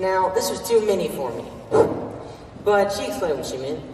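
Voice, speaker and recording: Lively intonation carries the speech along at a fairly quick pace. Light background noise and audible room echo are present. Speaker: student actor. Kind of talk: theatrical monologue performance of a literary first-person narration. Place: stage.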